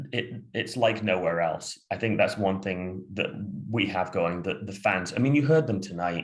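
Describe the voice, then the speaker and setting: A man with an American accent speaks at a fairly slow pace, his fairly low pitch showing ordinary variation. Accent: sounds American. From Sheffield, northern England. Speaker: football fan guest. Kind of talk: casual chat. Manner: halting, many fillers.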